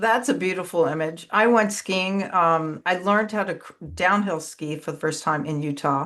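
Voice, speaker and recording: A woman with a plain, everyday voice speaks at a moderate pace, with hardly any pauses, against a quiet background. Her pitch is fairly low, with ordinary variation. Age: 60s. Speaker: podcast host. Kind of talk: podcast interview.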